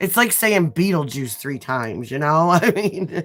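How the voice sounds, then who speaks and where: Using a very deep, low pitch, a woman speaks at a fairly slow pace with very wide pitch swings in a strong Midwestern US accent. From US Midwest. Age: 40s. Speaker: nail artist livestreamer. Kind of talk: casual livestream chat. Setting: livestream.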